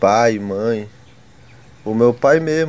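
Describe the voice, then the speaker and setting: The man's voice has a dark, mellow tone. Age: 20s. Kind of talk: testimony. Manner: halting.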